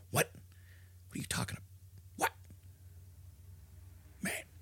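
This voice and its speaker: Over clear background noise, a man uses a raspy, put-on character voice at a fairly slow pace. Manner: agitated, angry, confrontational.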